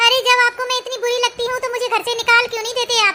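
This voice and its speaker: Putting on a squeaky character voice, a woman speaks at an extremely high pitch, very fast, with monotone, flat intonation. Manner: complaining, hurt.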